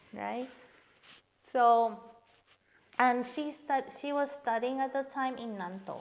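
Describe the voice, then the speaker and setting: The speech is very slow and fairly even in intonation, with long, frequent pauses. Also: woman, high pitch for a woman. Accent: Spanish. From Peru. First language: Spanish. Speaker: international university student. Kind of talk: casual chat.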